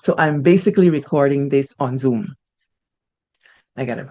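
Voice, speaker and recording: A woman with a Guyanese accent at a moderate pace. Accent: Guyanese English with Creolese code-switching. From Guyana, Buxton village. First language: Guyanese Creolese. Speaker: storyteller, channel host. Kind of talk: casual chat and reading aloud. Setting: home recording on Zoom. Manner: expressive, code-switching.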